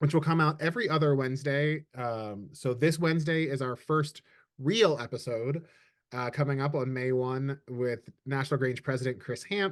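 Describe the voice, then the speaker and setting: This man has an ordinary speaking voice, pitched fairly high, with ordinary pitch variation at a moderate pace over a quiet background. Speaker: communications director hosting a webinar. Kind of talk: webinar presentation. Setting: video call.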